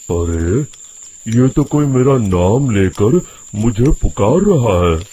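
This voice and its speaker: A man does a rumbling, put-on character voice at a medium pitch with very wide pitch swings. He speaks at a very slow pace with very even loudness. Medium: cartoon. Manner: grumbling, brusque.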